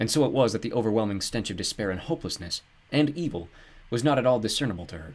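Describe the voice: The intonation is lively throughout. It is plain reading aloud.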